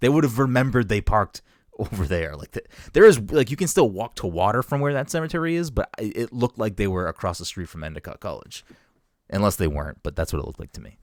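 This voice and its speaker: In an American accent, an animated man races along at a very fast pace with vocal fry, very wide pitch swings and big swings in loudness, recorded dry and close with no echo on a very clean track with a silent background. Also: medium pitch for a man. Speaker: podcast host. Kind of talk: casual chat.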